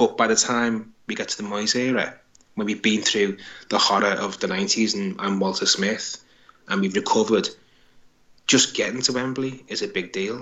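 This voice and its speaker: Medium in pitch, a man speaks in an unremarkable speaking voice. His pace is moderate and his intonation fairly even. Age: 40s. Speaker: football author. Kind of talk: casual interview.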